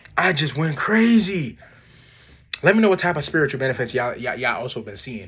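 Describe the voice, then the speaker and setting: In an animated tone, a man speaks at a very fast pace, somewhat breathy, with very wide pitch swings. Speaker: self-improvement vlogger. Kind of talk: casual vlog monologue.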